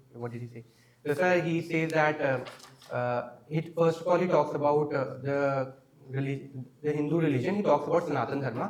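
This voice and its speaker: Noticeable background noise sits behind a man speaking. He has an Indian accent and ordinary pitch variation. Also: fairly high pitch for a man. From India, Uttarakhand. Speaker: exam candidate. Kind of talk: mock interview. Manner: hesitant, many fillers; fast.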